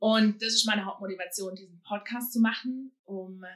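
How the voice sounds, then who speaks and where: A bright, sharp tone at a moderate pace with fairly even intonation. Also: woman. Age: 30s. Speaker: youth pastor. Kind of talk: casual chat.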